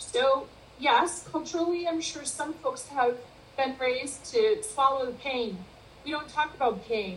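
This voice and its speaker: High-pitched female speech, fairly slow, with lively intonation and noticeable background noise. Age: 50s. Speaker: wellbeing and leadership consultant. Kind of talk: interview.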